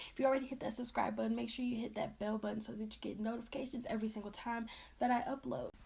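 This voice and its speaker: Noticeable background noise underlies a woman's very fast talking. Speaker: beauty vlogger. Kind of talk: makeup tutorial. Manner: casual, hesitant with fillers.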